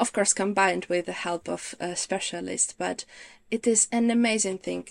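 A woman with a Ukrainian accent speaks at a moderate pace in a very clean recording with a silent background and a dry, close sound with no echo. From Ukraine. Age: 30s. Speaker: visual practitioner. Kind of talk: interview chat.

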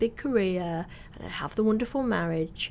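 A woman speaks in a Mancunian accent at a fairly high pitch. Her intonation is lively and her pace moderate. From northern England, Salford. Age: 40s. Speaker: magazine editor and author. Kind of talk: interview. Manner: halting.

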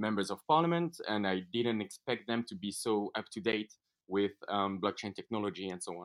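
A man with a French accent and a fairly low pitch speaks at a fairly quick pace in a dry, close sound with no echo. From France. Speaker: entrepreneur, event co-founder. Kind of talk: interview. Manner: halting, many fillers.

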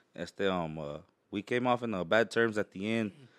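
A man with an American accent speaks in a normal speaking voice at a fairly low pitch, with ordinary pitch variation. His fairly quick speech is captured in a very clean recording with a silent background. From Houston, Texas (Mexican family). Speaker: truck scene brand owner. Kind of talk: casual chat.

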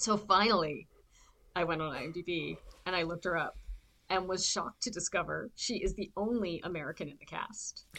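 Speaking in a Canadian accent, a woman with a fairly low pitch and a bright, sharp tone moves at a moderate pace with ordinary pitch variation. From southern Ontario, Canada. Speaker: actor and podcast co-host. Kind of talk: casual chat.

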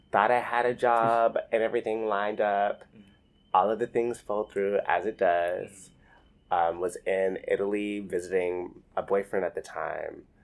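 In a plain, everyday voice with an American accent, the speaker keeps a moderate pace and fairly even intonation while the loudness swings widely. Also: man, fairly low pitch for a man. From rural Alabama, US South. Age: 20s. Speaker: artist. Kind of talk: oral history interview.

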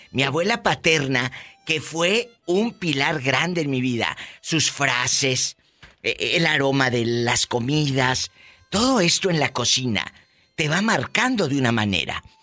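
Music plays in the background as a man with a fairly high pitch speaks at a very slow pace. His intonation is lively and his loudness very even. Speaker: radio host. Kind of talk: casual chat. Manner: animated.

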